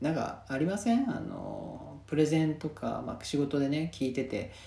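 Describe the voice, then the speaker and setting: At a moderate pace, a man talks in a fairly high voice. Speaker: podcast host. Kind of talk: casual monologue. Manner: relaxed, many fillers.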